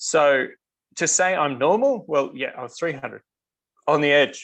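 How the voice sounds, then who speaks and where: A man speaks with an Australian accent. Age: 40s. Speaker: customer sharing health story. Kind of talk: interview testimony. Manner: hesitant, many fillers.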